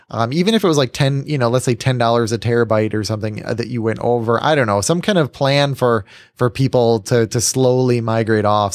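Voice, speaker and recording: On a very clean recording with a silent background, a man talks at a fairly quick pace in a medium pitch. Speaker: podcast host. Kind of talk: casual chat. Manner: loud.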